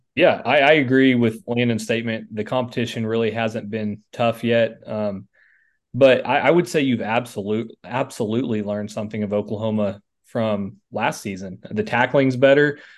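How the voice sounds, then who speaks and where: A man with an ordinary speaking voice talks at a moderate pace and a medium pitch. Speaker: sports podcast co-host. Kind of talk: casual sports analysis.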